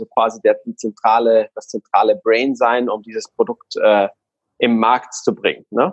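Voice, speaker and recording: With a Guatemalan accent, a man talks at a moderate pace in a dry, close recording with no echo. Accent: non-native German, Guatemalan. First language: Spanish (speaking German). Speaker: online retailer. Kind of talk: casual interview.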